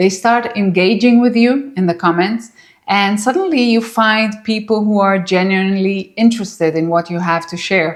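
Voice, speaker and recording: A woman with a non-native accent talks at medium pitch. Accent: foreign. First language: not English. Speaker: YouTuber, former psychologist. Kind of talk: vlog monologue to camera. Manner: warm, encouraging.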